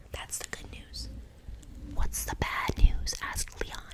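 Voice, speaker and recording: Whispering at a moderate pace, a woman is heard against noticeable background noise. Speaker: ASMR artist. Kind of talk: casual chatty commentary between stories. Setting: close-mic studio. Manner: whispered, soft, tingly.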